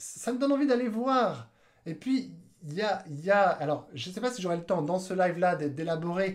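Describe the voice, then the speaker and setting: The tone is animated. Intonation is lively. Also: man, high pitch for a man. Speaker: YouTube marketing coach. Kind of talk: live video tutorial. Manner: fast.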